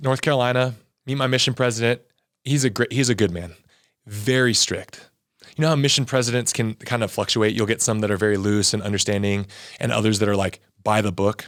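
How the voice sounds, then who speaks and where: A man with a Southern California accent talks at a fairly quick pace in an animated tone. His medium pitch shows ordinary variation, and the recording is very clean with a silent background. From Southern California, Torrance. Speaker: former athlete and religion teacher. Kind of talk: interview testimony. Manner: fast.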